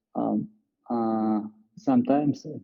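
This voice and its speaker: Speaking at a very slow pace with a non-native accent, a man keeps a medium pitch and fairly even intonation. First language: not English. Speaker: call participant. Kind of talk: question in group call. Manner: halting.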